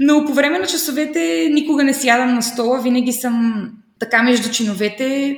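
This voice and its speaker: A high-pitched woman at a moderate pace with ordinary pitch variation, amid audible room echo and noticeable background noise. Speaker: primary and English teacher. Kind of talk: interview. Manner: animated.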